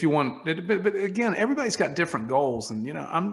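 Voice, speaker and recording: In a very clean recording with a silent background, a man talks at a fairly quick pace, his high pitch making very wide swings. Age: 60s. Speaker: entrepreneur, wine company founder. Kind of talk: interview conversation.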